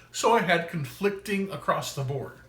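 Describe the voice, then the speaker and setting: Audible room echo surrounds a man whose high pitch rises and falls in lively intonation. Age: 40s. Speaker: vlogger documenting weight loss and illness. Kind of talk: personal video diary monologue. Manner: halting, with false starts.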